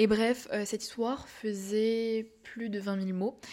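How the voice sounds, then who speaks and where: At a fairly slow pace, a woman speaks in a monotone with flat intonation. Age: young. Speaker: podcast host and novelist. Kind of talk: casual monologue. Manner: hesitant, many fillers.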